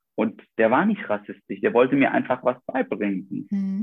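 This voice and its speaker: Male speech of fairly high pitch, moderately paced and full of very wide pitch swings. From Iraq. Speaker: doctor, vascular surgeon. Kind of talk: interview.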